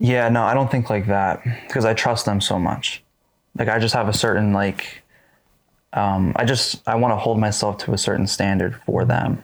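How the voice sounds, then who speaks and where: An ordinary speaking voice at a moderate pace, fairly even in intonation and very even in loudness, on a very clean recording with a silent background. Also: man, fairly low pitch for a man. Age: 20s. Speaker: podcast co-host. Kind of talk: casual chat.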